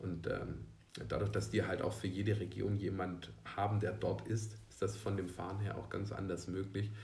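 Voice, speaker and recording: A man's fairly low, vocal-fry voice at a moderate pace, monotone and flat, with audible room echo. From southern Germany, Swabia (Unterelchingen near Ulm). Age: 30s. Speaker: cheerleading company employee, former cheerleader. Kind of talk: interview. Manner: hesitant, many fillers.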